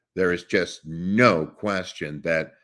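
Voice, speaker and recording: A man talks with a very deep, low pitch. Vocal fry runs through his voice. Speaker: voice actor. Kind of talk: interview answer.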